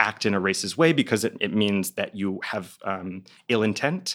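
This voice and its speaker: Someone talks at a fairly slow pace with an American accent, on a very clean recording with a silent background. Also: man. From Texas. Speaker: arts writer. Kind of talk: interview. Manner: halting.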